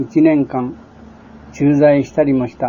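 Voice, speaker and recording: Fairly high-pitched and fairly slow, a man speaks in a monotone with flat intonation. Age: 60s. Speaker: war veteran, former Siberian internee. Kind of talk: reading a written memoir aloud. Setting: home or shop recording on cassette tape. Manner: sometimes sleepy, sometimes cheerful.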